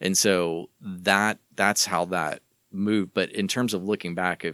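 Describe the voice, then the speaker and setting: In a Texan accent, a man talks at a moderate pace with fairly even intonation, recorded very cleanly against a silent background with a dry, close sound and no echo. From Southeast Texas. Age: 40s. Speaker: church communications leader. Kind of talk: casual interview.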